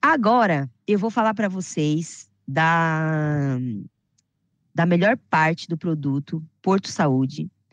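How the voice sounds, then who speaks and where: A woman speaks in an animated tone with lively intonation, the sound dry and close with no echo against a quiet background. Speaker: health insurance sales trainer. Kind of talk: online sales training.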